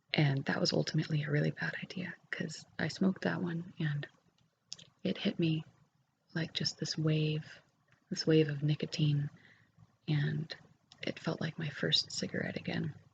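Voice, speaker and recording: Soft-spoken and very deep, low in pitch, a woman talks at a moderate pace with vocal fry, fairly even intonation and long, frequent pauses. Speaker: ASMR creator. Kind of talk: ASMR ramble. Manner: hesitant with fillers.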